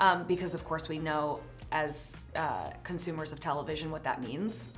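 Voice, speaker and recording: Faint music plays behind a woman whose voice has a very deep, low pitch. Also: ordinary pitch variation, moderate pace. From New Jersey. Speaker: actress. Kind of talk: interview answer. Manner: casual, conversational.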